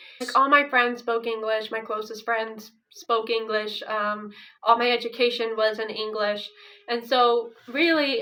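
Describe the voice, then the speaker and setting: A woman with an American accent uses a normal speaking voice, talking at a moderate pace and fairly high pitch with ordinary pitch variation. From Ukraine, raised by American parents. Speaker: vlogger. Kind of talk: casual chat.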